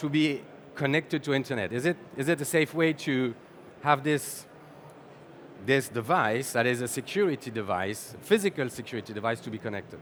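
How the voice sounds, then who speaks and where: Someone with a French accent speaks at a fairly quick pace using lively intonation, broken by long, frequent pauses. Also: man. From France. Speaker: sales executive, conference speaker. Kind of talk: conference talk. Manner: halting, with repetitions.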